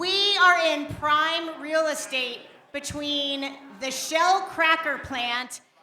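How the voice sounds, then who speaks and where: With an American accent, a woman projects a raised, high-pitched voice with ordinary pitch variation. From Beaver County, Pennsylvania. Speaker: artistic director of a small arts center, pitching a film festival. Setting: live pitch event, speaking to an audience.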